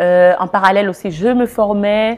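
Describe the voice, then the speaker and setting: A woman speaks in a medium-pitched voice with a slight non-native accent. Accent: slight foreign-sounding accent in French. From Cameroon. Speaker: life and business coach. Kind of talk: interview testimony.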